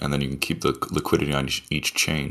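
This man's very deep, low voice carries vocal fry. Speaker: protocol CTO explaining governance. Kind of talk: technical explanation. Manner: excited about project.

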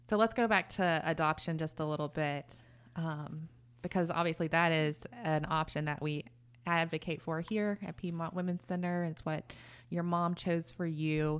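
With a normal speaking voice, a woman talks at a moderate pace and a fairly low pitch, her intonation fairly even, on a very clean recording with a silent background. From Texas. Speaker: podcast host. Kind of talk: casual interview.

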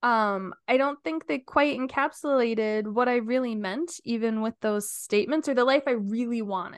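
With a plain, everyday voice, a woman speaks at a fairly high pitch and a moderate pace with hardly any pauses, the sound dry and close with no echo against a quiet background. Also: ordinary pitch variation. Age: 30s. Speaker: podcast co-host. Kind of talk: casual chat.

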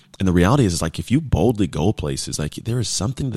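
An energetic, animated man with an American accent, lively intonation and vocal fry, in a very clean recording with a silent background and dry, close sound with no echo. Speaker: podcast host and motivational speaker. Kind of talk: motivational monologue. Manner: energetic, animated, conversational.

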